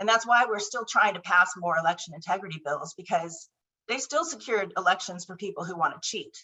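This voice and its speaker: A woman with an American accent, an ordinary speaking voice at medium pitch, fairly quick pace, lively intonation and big swings in loudness. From Southern California. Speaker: political candidate. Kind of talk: candidate forum answer. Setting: video call.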